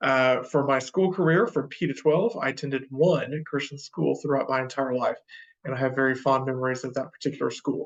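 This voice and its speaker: A man with a Texan accent, fairly high-pitched, at a fairly quick pace. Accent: Texan American. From Texas, Wichita Falls. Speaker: professor. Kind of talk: lecture. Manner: hesitant, many fillers.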